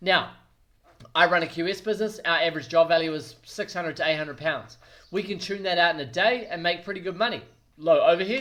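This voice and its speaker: With a New Zealand accent, a man speaks at a very fast pace in a high pitch. His tone is bright, sharp and energetic. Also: ordinary pitch variation. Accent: New Zealand (Kiwi). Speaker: quantity surveyor and business coach. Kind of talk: business advice talk to camera. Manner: energetic, direct.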